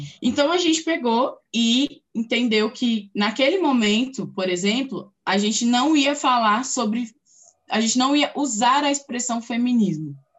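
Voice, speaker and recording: A woman speaks at a fairly slow pace. Her high voice has lively intonation. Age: 30s. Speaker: political scientist and community activist. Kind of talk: interview. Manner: casual, filler-heavy.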